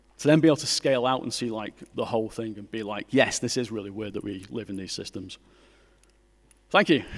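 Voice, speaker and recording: A man talks very fast in a Mancunian accent at a medium pitch with ordinary pitch variation. His loudness swings widely, and he leaves long, frequent pauses. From Manchester, northern England. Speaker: graphic designer and artist. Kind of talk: conference talk.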